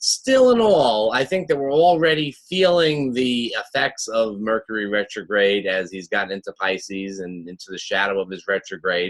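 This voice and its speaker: In a Long Island accent, a medium-pitched man talks at a moderate pace with hardly any pauses, very wide pitch swings, and big swings in loudness. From Long Island, New York. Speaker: astrologer. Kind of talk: weekly forecast monologue. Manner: casual, with many fillers.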